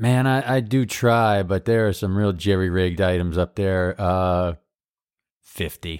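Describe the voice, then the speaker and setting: A man's very deep, low voice at a fairly slow pace, with ordinary pitch variation, on a very clean recording with a silent background. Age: 40s. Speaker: improviser and podcast co-host. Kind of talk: casual chat.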